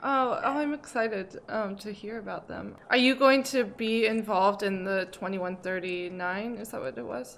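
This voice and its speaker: A woman with an American accent and a normal speaking voice talks at a fairly slow pace and a fairly high pitch. Her intonation is lively, with big swings in loudness. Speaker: podcast host. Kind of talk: casual chat.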